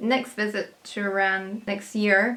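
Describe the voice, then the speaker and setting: A woman speaking with an American accent. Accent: Scottish, sounds somewhat American. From UK. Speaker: travel vlogger. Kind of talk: casual Q&A reading viewer comments.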